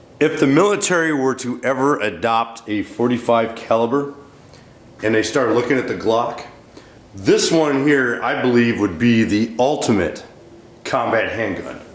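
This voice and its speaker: Noticeable background noise sits behind a man speaking at a medium pitch. He keeps a moderate pace with ordinary pitch variation. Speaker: firearms reviewer. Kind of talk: casual product review to camera.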